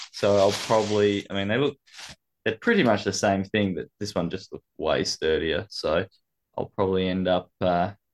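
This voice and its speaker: Recorded against a quiet background with a dry, close sound and no echo, the speaker talks at a moderate pace with an Australian accent. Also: man. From Tasmania, Launceston. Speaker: podcast guest. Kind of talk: casual chat.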